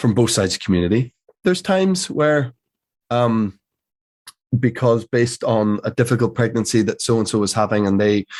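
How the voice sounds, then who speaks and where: A man with a Northern Irish accent, lively intonation and a fairly quick pace, very even loudness, long, frequent pauses and a quiet background. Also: medium pitch for a man. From Northern Ireland. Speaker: actor. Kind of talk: interview answer.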